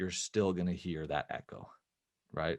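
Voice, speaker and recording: A man speaks with a very deep, low pitch. Behind him the background is quiet. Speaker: filmmaker and film educator. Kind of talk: interview, explaining audio tips. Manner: talking quieter. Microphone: close to microphone in treated room.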